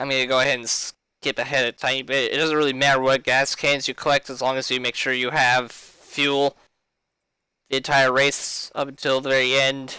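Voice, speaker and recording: Loud and monotone, a man of medium pitch speaks at a moderate pace in a bright, sharp tone, on a very clean recording with a silent background and a dry, close sound with no echo. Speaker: gaming streamer. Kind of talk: tutorial. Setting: live stream.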